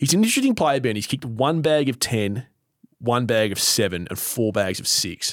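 Speaking with an Australian accent, a man keeps a medium pitch and ordinary pitch variation. His pace is moderate. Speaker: football podcast host. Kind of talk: casual chat. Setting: studio, face to face.

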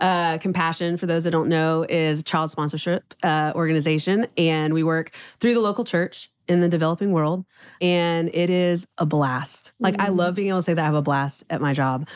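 A woman with an American accent talks at a moderate pace in a fairly low register. She has a plain, everyday voice with fairly even intonation. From Texas, Houston. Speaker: restaurant co-owner. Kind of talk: casual chat.

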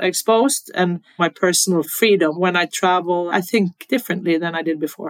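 The woman talks at a fairly quick pace in a fairly low pitch, with a Norwegian accent. Her sound is dry and close, with no echo. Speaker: football federation president. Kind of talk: interview.

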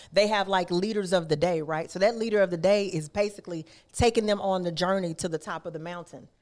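With an American accent, a woman talks very fast in an animated tone at medium pitch. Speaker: youth nonprofit executive director. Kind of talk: interview.

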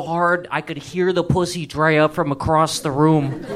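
A man with an American accent speaks in a high pitch at a moderate pace, his intonation fairly even. Noticeable background noise runs under the recording. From Connecticut, US. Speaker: comedian. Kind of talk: stand-up. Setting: stage with audience.

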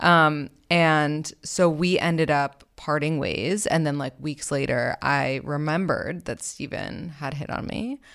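In a very clean recording with a silent background, a woman speaks at a fairly slow pace, her pitch very deep and low and her intonation fairly even. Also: hardly any pauses. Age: 30s. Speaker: dating podcast host. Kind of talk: casual interview. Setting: studio.

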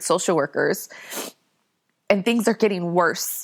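A woman speaks at a fairly quick pace in a normal speaking voice, with ordinary pitch variation. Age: 40s. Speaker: former foster youth and advocate. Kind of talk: interview.

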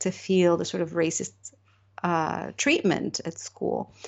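A woman speaks in a Moroccan accent at a fairly low pitch. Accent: Moroccan-inflected English. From Morocco. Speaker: novelist. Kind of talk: interview.

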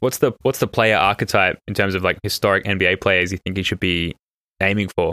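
A man speaks at a fairly quick pace with a very deep, low pitch, a bright, sharp tone and fairly even intonation, in a very clean recording with a silent background and a dry, close sound with no echo. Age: 30s. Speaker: basketball podcast host. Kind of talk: casual chat.

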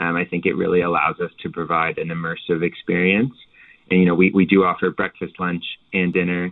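In a Canadian Maritime accent, a man speaks with a very deep, low voice in a flat monotone. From Canada, Halifax, Nova Scotia. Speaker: hotel owner. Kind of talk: interview.

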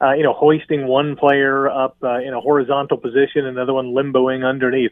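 Using a normal speaking voice, a man talks at a fairly quick pace with a fairly high pitch. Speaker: sports broadcaster. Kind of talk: casual chat. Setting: studio.

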